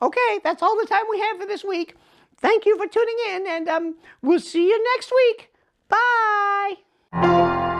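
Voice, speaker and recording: A woman's squeaky, put-on character voice, extremely high in pitch and fairly slow, over music in the background. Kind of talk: horror host show. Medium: puppet show. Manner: hesitant, full of ums.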